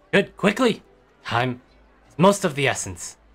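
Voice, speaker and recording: A man's put-on character voice, high-pitched, with very wide pitch swings and a moderate pace. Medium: actual play. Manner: rambling, urgent, cryptic.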